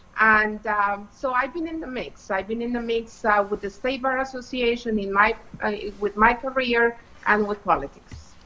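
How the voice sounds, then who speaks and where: Speaking at a moderate pace with a Spanish accent, a woman has a fairly high pitch and ordinary pitch variation. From Colombia, Bogota. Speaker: political candidate, attorney. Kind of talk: interview.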